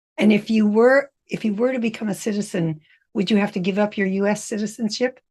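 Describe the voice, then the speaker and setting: A woman's somewhat breathy voice moves at a fairly quick pace, her intonation fairly even. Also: medium pitch for a woman. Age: 80s+. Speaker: podcast host. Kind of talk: interview.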